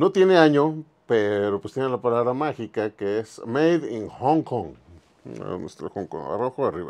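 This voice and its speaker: Speaking at a moderate pace, a man's voice moves through very wide pitch swings. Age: 50s. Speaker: toy museum owner, collector and video host; video host. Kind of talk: casual toy show-and-tell video. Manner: casual, conversational. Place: shop. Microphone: lapel.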